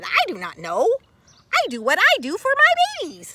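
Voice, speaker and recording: In a squeaky, put-on character voice at an extremely high pitch, a woman projects loudly at a moderate pace. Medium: read story. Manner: warm, motherly.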